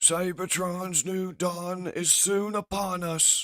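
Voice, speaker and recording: A man puts on a character voice, high in pitch and monotone, delivered at a very slow pace. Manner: gloating, sneering.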